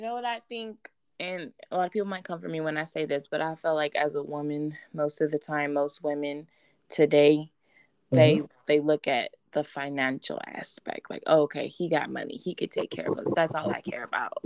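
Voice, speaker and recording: A woman with an American accent and a very deep, low pitch, in a dry, close sound with no echo and a quiet background. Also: ordinary pitch variation. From Texas, Houston. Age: 20s. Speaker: guest, mother. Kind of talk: casual chat. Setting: remote call.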